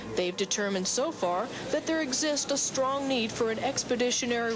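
Lively intonation at a moderate pace comes through noticeable background noise. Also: woman. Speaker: Navy journalist reporter. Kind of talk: scripted news report narration, polished broadcast delivery. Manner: formal, steady, even-paced.

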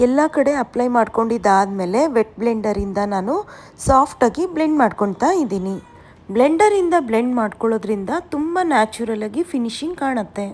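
Noticeable background noise underlies speech delivered with lively intonation. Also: woman, fairly high pitch for a woman. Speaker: makeup artist and educator. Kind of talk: tutorial.

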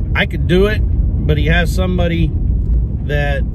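Loud background noise surrounds a man whose pitch varies in an ordinary way. The recording is dry with no echo. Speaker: farmer vlogger. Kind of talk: casual vlog chat. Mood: serious, reflective. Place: car. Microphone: phone near.

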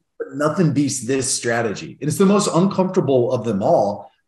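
A man talks at a moderate pace with medium pitch and big pitch swings. His tone is slightly mellow, and audible room echo surrounds it.

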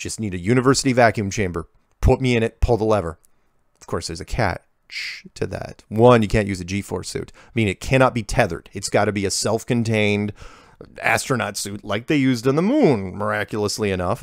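A man with an unremarkable speaking voice and a fairly low pitch talks at a fairly quick pace, showing ordinary pitch variation and big swings in loudness on a very clean recording with a silent background. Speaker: video show host answering listener emails. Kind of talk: reading listener emails aloud with commentary. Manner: casual, conversational.

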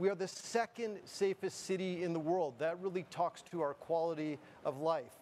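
A man speaks with a high pitch at a moderate pace. His pitch variation is ordinary, with light background noise behind him. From Canada. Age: 50s. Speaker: board chair and moderator; moderator. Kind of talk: opening speech and fireside chat moderation. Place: studio. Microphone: podium.

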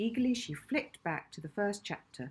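A woman speaks at a moderate pace with lively intonation. Her voice carries a slightly husky edge.

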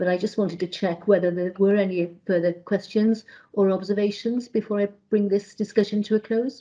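A woman with a dark, mellow tone talks at a fairly quick pace in a flat monotone, hardly pausing, over a quiet background. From Wales. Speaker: committee chair. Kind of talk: formal committee meeting. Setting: video call. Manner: formal; halting, many fillers. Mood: calm, polite, procedural. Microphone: video call.

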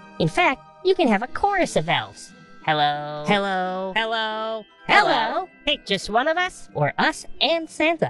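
A female-sounding put-on character voice, upbeat in tone and fairly high in pitch, with very wide pitch swings and clear music in the background. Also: moderate pace. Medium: voice reel.

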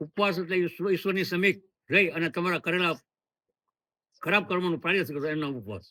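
High-pitched male voice with a bright, sharp tone and ordinary pitch variation. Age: 70s. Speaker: sadhu, former police officer. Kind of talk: interview.

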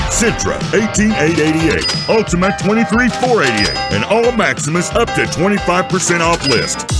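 Loud music plays behind a man who speaks with hardly any pauses, the sound dry with no echo. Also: moderate pace. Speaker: voice actor. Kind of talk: TV commercial read. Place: booth.

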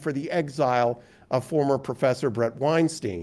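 Man's voice in a dark, mellow tone, at a moderate pace with ordinary pitch variation. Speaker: university dean and public policy speaker; public speaker. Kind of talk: keynote lecture. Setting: stage with audience. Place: meeting room. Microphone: lapel.

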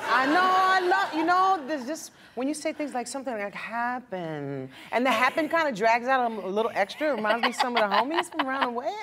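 A woman with a high pitch talks at a very fast pace in a raised, projected voice with very wide pitch swings. Loud background noise is present. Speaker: talk show host. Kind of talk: interview. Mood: playful, amused. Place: studio.

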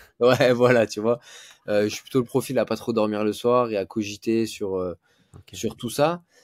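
Over a quiet background, a man talks at a moderate pace with fairly even intonation and big swings in loudness. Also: dry sound with no echo. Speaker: jiu-jitsu teacher and competitor. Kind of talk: casual interview. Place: home room.

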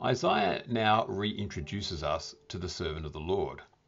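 There is vocal fry in this man's voice, heard over a quiet background. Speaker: bible teacher. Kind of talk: sermon. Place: home room. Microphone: webcam.

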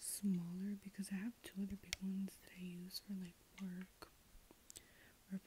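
The speaker whispers softly at a moderate pace, with long, frequent pauses. The sound is dry with no echo, and there is noticeable background noise. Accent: American. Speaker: ASMR creator. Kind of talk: ASMR ramble. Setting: filming in room at night. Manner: soft-spoken whisper; halting, many ums. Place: home room.

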